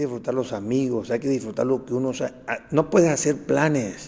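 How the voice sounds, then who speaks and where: A man talks at a moderate pace. He has a plain, everyday voice. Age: 60s. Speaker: pediatrician and author. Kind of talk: interview. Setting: studio.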